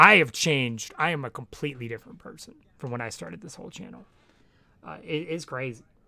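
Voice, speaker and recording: A man's bright, sharp tone at a medium pitch, fairly quick in pace, with lively intonation. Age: 20s. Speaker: streamer. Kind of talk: casual chat. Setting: live stream.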